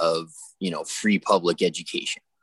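A man's very deep, low voice comes through with a dry, close sound and no echo. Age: 30s. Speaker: podcast co-host. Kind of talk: casual chat.

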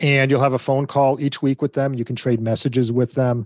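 The background is quiet and the sound dry and close with no echo. A man talks at a fairly quick pace and a medium pitch. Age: 50s. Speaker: parenting company executive. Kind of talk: interview. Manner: repetitive, halting starts.

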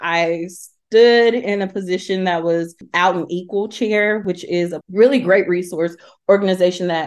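A woman with a Southern US accent speaks at a moderate pace in a fairly low voice, her intonation fairly even against a quiet background. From Alabama, Talladega. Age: 30s. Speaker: HR professional and LGBTQ+ advocate. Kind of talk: interview storytelling.

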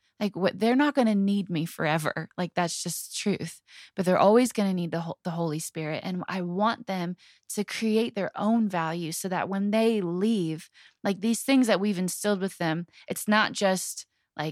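The sound is dry and close with no echo as a woman speaks at a moderate pace. Her pitch is medium, with ordinary pitch variation. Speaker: podcast co-host. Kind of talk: casual chat. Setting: home bedroom. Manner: animated.

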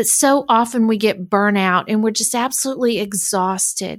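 On a very clean recording with a silent background, a woman speaks in a warm tone at a fairly high pitch with ordinary pitch variation. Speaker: podcast host and coach. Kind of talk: interview conversation. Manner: warm, encouraging.

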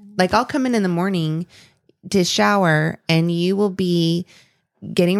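A woman's ordinary speaking voice at a medium pitch and fairly slow pace, with a dry, close sound with no echo. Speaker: podcast host. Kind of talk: casual chat.

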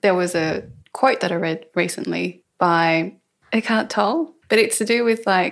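A woman with an unremarkable speaking voice, medium pitch and fairly even intonation, at a fairly slow pace, in a very clean recording with a silent background. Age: 20s. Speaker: podcast host. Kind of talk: casual chat. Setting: at home.

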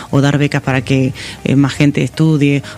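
A man speaks in a fairly high pitch at a moderate pace, with noticeable noise behind him. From Argentina, rural Buenos Aires province (Pigüé). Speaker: tech company executive. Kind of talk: interview. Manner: hesitant, with frequent repetitions.

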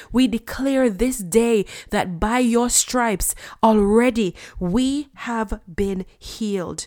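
A woman's fairly high voice at a very slow pace with ordinary pitch variation. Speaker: podcast host and preacher. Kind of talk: prayer and devotional teaching. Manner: earnest, fervent, rhythmic prayer; warm, encouraging.

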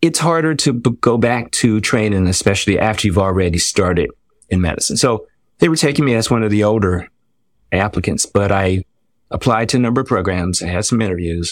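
An ordinary speaking voice from a man with an American accent, fairly low in pitch, lively in intonation, at a fairly quick pace, on a very clean recording with a silent background. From Washington, D.C. area. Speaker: dermatologist. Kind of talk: interview.

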